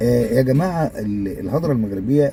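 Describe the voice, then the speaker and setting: A man with an Egyptian accent speaks at a fairly slow pace and a medium pitch, with lively intonation. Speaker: YouTuber. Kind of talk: casual video monologue. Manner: halting, many fillers.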